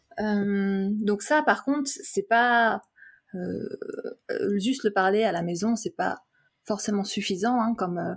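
Somewhat breathy, a woman speaks at a medium pitch with ordinary pitch variation on a very clean recording with a silent background. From France. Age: 30s. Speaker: tourism board representative. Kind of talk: interview. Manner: hesitant, many fillers.

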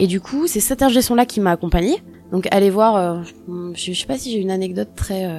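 A woman's voice has a dark, mellow tone at a medium pitch. She keeps a moderate pace with ordinary pitch variation. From Normandy, France. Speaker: singer and former radio intern. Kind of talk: interview. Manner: halting.

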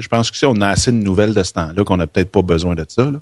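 Very fast speech from a man with a Quebec accent, fairly low in pitch, in a dry, close sound with no echo. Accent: Québécois French. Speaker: podcaster. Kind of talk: casual chat. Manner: animated.

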